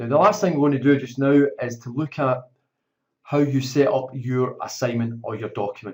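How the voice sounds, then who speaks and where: This voice has a Scottish accent and a moderate pace. Its pitch variation is ordinary. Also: man, medium pitch for a man. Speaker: teacher. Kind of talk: tutorial. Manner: informal.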